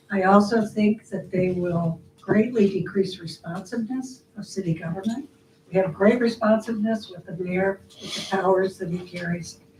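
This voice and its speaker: Over noticeable background noise, a woman at medium pitch speaks at a moderate pace with fairly even intonation and big swings in loudness. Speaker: resident giving public comment. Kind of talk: public comment at council meeting. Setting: city council meeting.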